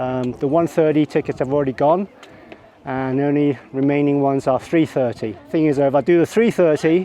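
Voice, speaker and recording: A man with a fairly high pitch and fairly quick pace over noticeable background noise. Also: ordinary pitch variation. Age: 60s. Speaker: travel vlogger. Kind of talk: travel vlog narration. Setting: outdoors. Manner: animated.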